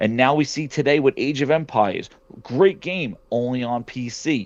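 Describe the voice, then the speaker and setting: Here a man speaks in a medium pitch with ordinary pitch variation. His tone is animated. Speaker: gaming podcast panelist. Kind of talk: casual panel discussion. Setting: online voice call.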